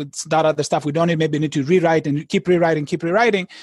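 With a non-native accent, a man talks at a fairly high pitch and with fairly even intonation. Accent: foreign-accented English. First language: not English. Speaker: poker author and educator. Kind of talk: interview. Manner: halting.

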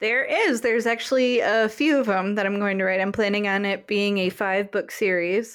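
A woman's unremarkable speaking voice at a medium pitch and moderate pace, with fairly even intonation, very even loudness and hardly any pauses. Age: 20s. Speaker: novelist. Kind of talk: interview.

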